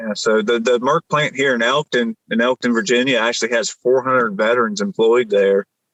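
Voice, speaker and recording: With a strong Appalachian accent, a man talks at a fairly quick pace with hardly any pauses. His voice is medium in pitch with ordinary variation and very even loudness, in a dry, close sound with no echo. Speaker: military veteran and nonprofit founder. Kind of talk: podcast interview. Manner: halting, many fillers and restarts.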